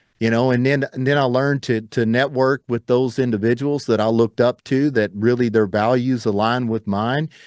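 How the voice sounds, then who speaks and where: A man with a plain, everyday voice talks at a medium pitch and moderate pace with fairly even intonation, recorded with a dry, close sound with no echo over a quiet background. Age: 40s. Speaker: entrepreneur and mindset coach. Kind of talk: interview podcast.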